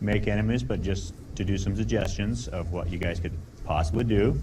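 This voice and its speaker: With an American accent, a man talks at a moderate pace with very wide pitch swings, and audible room echo surrounds him. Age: 30s. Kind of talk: informal talk to a group. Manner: hesitant, many fillers.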